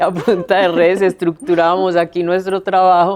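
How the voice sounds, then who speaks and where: Speaking at a moderate pace, a woman has an ordinary speaking voice with fairly low pitch. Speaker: city councillor, former prosecutor. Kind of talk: interview answer.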